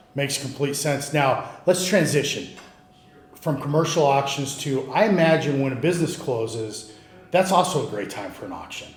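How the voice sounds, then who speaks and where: A man with a fairly high voice talks at a moderate pace with ordinary pitch variation over noticeable background noise. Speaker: podcast host. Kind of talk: podcast host intro and interview questions.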